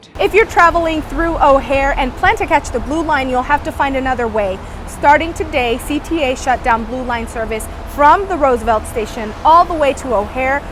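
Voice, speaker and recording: A woman's high-pitched, fairly quick speech with lively intonation over noticeable background noise. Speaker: TV news reporter. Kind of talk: TV news report.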